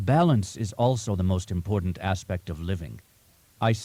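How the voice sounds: The text is read in a natural reading voice. Pitch variation is ordinary.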